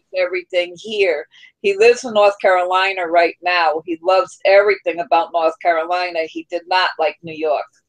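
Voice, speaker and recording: A woman with a normal speaking voice talks at a fairly quick pace and medium pitch, her loudness swinging widely while her intonation stays fairly even, in a dry, close sound with no echo. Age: 30s. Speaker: livestream host. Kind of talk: casual chat.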